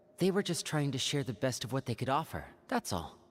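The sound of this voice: In a put-on character voice, a woman talks at a fairly quick pace with an extremely low pitch and big pitch swings.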